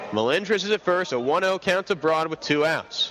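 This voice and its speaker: Noticeable noise runs in the background. Over it, a man does the talking. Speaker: aspiring sports broadcaster. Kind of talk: radio baseball play-by-play call. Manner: fast, energetic.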